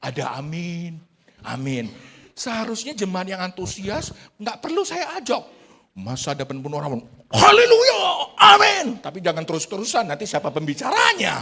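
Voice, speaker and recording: A man speaks in a raised, projected voice with an animated tone, high pitch, very wide pitch swings and big swings in loudness. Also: moderate pace. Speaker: pastor. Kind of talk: sermon. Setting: church. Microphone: good audio today.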